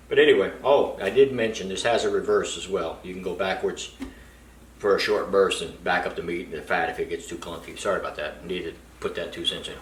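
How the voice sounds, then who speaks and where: The speaker moves at a fairly quick pace with big swings in loudness, over audible room echo and noticeable background noise. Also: man. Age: 60s. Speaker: product reviewer, home sausage maker. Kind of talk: casual product review video. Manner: casual, conversational with fillers.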